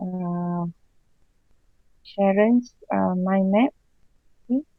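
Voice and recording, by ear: A woman speaks at a very slow pace, her pitch varying in an ordinary way. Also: medium pitch for a woman, dry, close sound with no echo.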